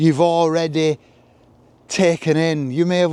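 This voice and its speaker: The tone is dark and mellow as a man speaks at a moderate pace. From northern England, Leigh, Lancashire. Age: 70s. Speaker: vlogger. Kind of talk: walking monologue. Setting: outdoors. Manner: reflective.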